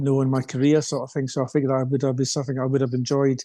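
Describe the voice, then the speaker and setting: A man with a Scottish accent, fairly high-pitched, dark and mellow in tone, flat and monotone in intonation. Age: 60s. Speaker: retired runner and coach. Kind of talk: podcast interview. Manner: halting, many fillers.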